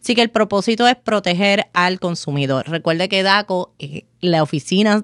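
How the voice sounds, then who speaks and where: Speaking with a Puerto Rican accent, a woman uses a medium pitch, lively intonation and a moderate pace. The recording is very clean with a silent background, and the sound is dry and close with no echo. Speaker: lawyer and podcast host. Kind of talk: solo legal explainer podcast. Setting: studio. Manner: conversational.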